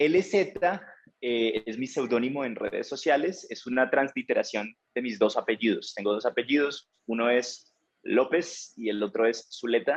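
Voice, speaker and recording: A man speaks at a medium pitch with ordinary pitch variation. He talks at a fairly slow pace with a strong Tolima accent. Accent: Colombian, Ibagué, strong. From Colombia, Ibagué (Tolima). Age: 30s. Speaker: language teacher. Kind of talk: interview.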